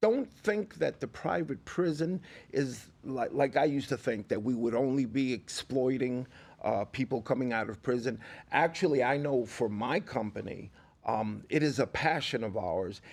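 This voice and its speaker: A man with an American accent and a normal speaking voice, medium pitch, lively intonation and a moderate pace, on a very clean recording with a silent background. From New York. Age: 60s. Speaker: formerly incarcerated reentry advocate. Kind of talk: podcast interview. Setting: studio.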